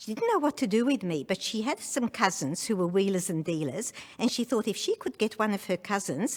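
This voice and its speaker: Over a silent background, a woman with an Australian accent speaks at medium pitch. Her intonation is lively, and the recording is very clean. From Hungary, Budapest. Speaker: Holocaust survivor. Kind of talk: testimony.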